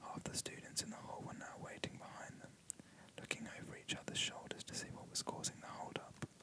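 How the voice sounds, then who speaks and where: Over clearly audible background noise, a whisper moves along at a medium speed. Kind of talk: whispered audiobook-style reading of a novel. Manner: whispered, soft, relaxing.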